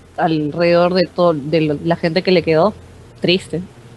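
Noticeable background noise behind a woman's medium-pitched speech. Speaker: TV series fan panelist. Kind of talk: casual chat.

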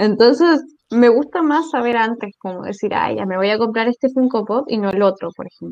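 A woman with an unremarkable speaking voice talks at a fairly high pitch and moderate pace. Her pitch varies in an ordinary way while her loudness swings widely. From southern Chile. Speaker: podcast co-host. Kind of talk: casual chat.

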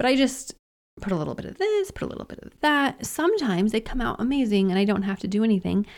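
With a normal speaking voice, a woman talks at a fairly high pitch, her intonation lively and her loudness swinging widely. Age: 40s. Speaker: podcast host. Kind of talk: casual monologue. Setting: home studio. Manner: casual, with many fillers.

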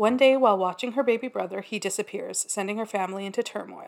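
A woman speaks in a plain, everyday voice, fairly high-pitched with ordinary pitch variation. The recording is very clean, with a silent background. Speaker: podcast co-host. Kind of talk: casual chat.

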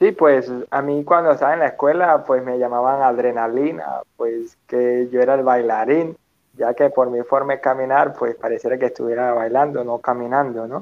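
A plain, everyday voice with fairly even intonation and hardly any pauses. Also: man, medium pitch for a man, moderate pace. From Venezuela, Petare (Caracas). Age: 20s. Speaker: physical education teacher and motivational speaker. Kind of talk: interview.

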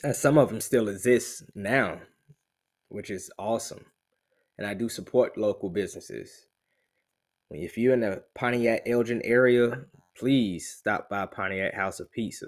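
A man with a South Carolina accent, fairly even intonation and a fairly slow pace, with long, frequent pauses. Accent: US Southern (South Carolina). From Columbia, South Carolina. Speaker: realtor and army veteran. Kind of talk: promotional monologue. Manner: casual, with many fillers.

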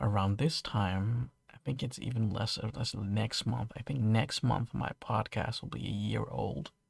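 Hardly pausing, a man with a Dutch accent talks at a moderate pace in a fairly low pitch, with vocal fry and lively intonation. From Netherlands. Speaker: podcast host. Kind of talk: solo podcast monologue. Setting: home studio, late at night. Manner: halting.

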